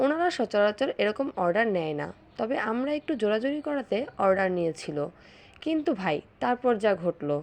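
A woman speaks in a fairly high voice, her pitch swinging very widely. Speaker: vlogger mother. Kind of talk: vlog narration.

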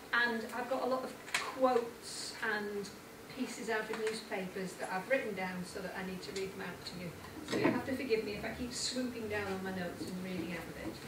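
Ordinary pitch variation at a fairly quick pace, with audible room echo and loud background noise. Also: woman. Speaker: speaker. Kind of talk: lecture. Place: hall. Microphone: camera far.

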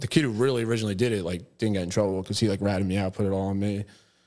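A man with an American accent speaks at a fairly low pitch, his pitch varying in an ordinary way. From New Jersey. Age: 30s. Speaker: tattoo client. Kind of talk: casual chat. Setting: studio. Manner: animated, laughs often. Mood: amused, storytelling. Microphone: studio mic.

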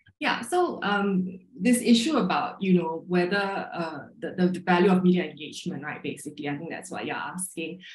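The voice moves at a moderate pace with hardly any pauses and ordinary pitch variation. Loudness swings widely, and the room echo is audible. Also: woman, medium pitch for a woman. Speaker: magazine writer and editor. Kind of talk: panel discussion. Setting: video call. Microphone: video call.

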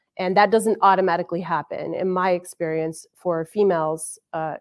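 This woman talks at a fairly quick pace in a fairly low pitch. Her intonation is monotone and flat. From Arizona. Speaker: army sergeant major, intelligence professional. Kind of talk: panel discussion. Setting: virtual online event.

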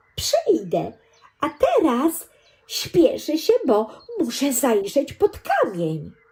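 A put-on character voice from a woman, high-pitched and very slow. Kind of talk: bedtime story. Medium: read story. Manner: eager, friendly, curious.

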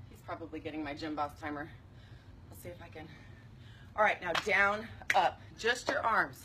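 Her pitch fairly low, a woman speaks at a moderate pace with lively intonation and big swings in loudness, amid noticeable background noise. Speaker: fitness instructor. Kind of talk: live workout instruction and viewer chat. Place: garden. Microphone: phone near.

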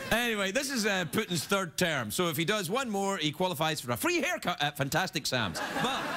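With music in the background, a man speaks in a raised, projected voice. His pitch swings very widely and he hardly pauses. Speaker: talk show host. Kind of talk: comedy monologue. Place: stage. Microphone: lapel.

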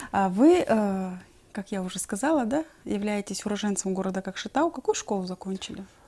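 A woman's voice at medium pitch, with long, frequent pauses. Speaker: TV host. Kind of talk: TV interview. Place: studio.

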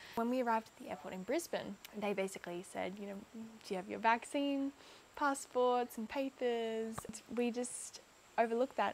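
Speaking in an Australian accent, a woman with a fairly high voice keeps a moderate pace, with ordinary pitch variation and big swings in loudness. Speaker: content creator. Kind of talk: personal vlog storytelling.

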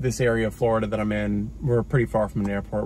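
A man speaks with light background noise behind him. The sound is dry, with no echo. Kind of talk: casual tutorial vlog. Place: car.

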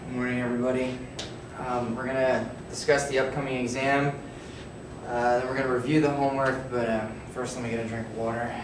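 Very fast man in a monotone, flat intonation, audible room echo, noticeable background noise. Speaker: teacher or instructor. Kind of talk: classroom address to students. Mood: unwell, strained, irritated. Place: classroom. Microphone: camera far.

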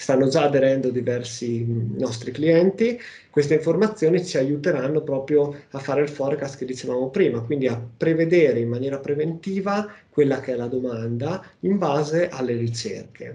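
Somewhat breathy and dark, mellow in tone, a man's fairly high-pitched voice moves at a moderate pace with ordinary pitch variation. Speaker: software company presenter; presenter. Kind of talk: webinar presentation. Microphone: video call.

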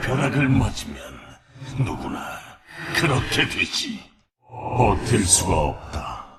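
A man's put-on character voice at a medium pitch, very slow in pace, with audible echo. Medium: fan dub. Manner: formal, archaic.

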